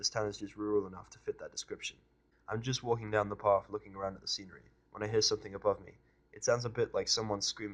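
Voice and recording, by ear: Natural voice, reading aloud.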